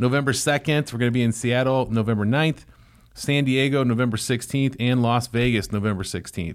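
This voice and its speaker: A man talks in an ordinary speaking voice at a medium pitch and a fairly quick pace. His intonation is fairly even, his loudness very even, and the recording very clean with a silent background. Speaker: podcast co-host, lash business owner. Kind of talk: casual chat. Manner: jokey, laughs often.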